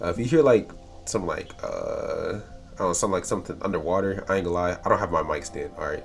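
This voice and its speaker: Music plays in the background as a man talks. He speaks at a fairly quick pace with an American accent. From US South, North Carolina. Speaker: storyteller podcaster. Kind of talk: casual intro chat. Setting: home room, windows open. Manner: hesitant with many fillers.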